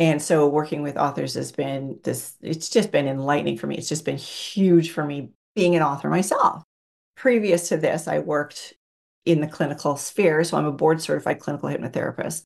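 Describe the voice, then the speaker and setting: Her voice very deep and low in pitch, a woman speaks with vocal fry at a fairly quick pace. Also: ordinary pitch variation. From Canada. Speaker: hypnotherapist and counselor. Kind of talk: casual interview conversation.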